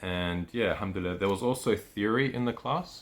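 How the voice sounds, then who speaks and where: This voice belongs to a man. He speaks with an Australian accent. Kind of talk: casual vlog talk. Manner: hesitant, many fillers.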